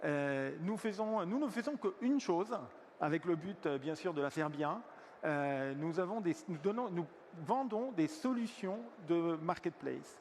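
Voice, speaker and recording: Speaking fairly slowly with an Italian accent, a man uses lively intonation in a voice high for a man. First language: Italian (speaking French). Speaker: software company executive. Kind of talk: conference panel talk. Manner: hesitant, many fillers.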